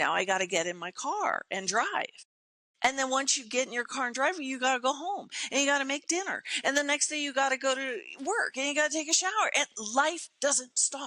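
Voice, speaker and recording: Raised and projected, a woman's high, bright, sharp voice moves at a fairly quick pace with an animated tone and very wide pitch swings. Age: 60s. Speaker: motivational speaker and performer. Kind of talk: podcast interview.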